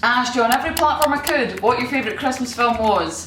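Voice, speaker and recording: With music in the background, a woman speaks in a high voice with a Scottish accent. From Scotland. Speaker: comedian. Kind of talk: casual talk to camera.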